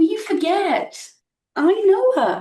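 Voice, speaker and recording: Doing a put-on character voice, a woman speaks in a squeaky, extremely high pitch with lively intonation and a slight echo. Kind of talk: naturalistic stage acting. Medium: stage play. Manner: terse, dry, detached.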